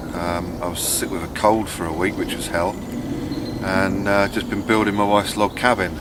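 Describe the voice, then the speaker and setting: Here a man speaks at a fairly low pitch and a moderate pace, with fairly even intonation. Noticeable background noise and audible room echo are present. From southern England, Buckinghamshire. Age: 30s. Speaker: bushcraft vlogger. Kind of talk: casual vlog monologue. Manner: hesitant, many fillers.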